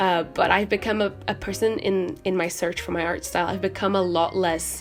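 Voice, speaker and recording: The tone is relaxed and the pace moderate. Music plays in the background. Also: woman. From Portugal. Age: young. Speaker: art student, artist. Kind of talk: casual talk to camera while painting. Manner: relaxed, hesitant, many fillers.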